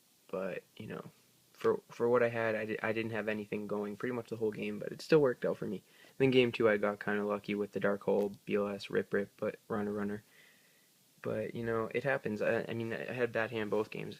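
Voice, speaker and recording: A man speaks quietly at a fairly low pitch, with monotone, flat intonation. The recording is very clean, with a silent background. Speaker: card game youtuber. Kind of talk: deck profile tutorial. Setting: at home. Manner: hesitant, many fillers.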